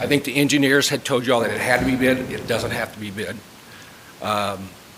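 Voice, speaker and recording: Amid noticeable background noise, a man talks fairly quickly at a medium pitch with fairly even intonation. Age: 60s. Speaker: chemical supplier speaking at public comment. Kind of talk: public comment at board meeting. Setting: public meeting. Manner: hesitant, with fillers.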